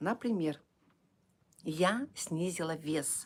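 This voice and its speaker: Lively intonation from a woman with a fairly low pitch. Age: 60s. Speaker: direct sales distributor running a service centre. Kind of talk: live stream sales talk. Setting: live stream. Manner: halting; soft-spoken. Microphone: too quiet.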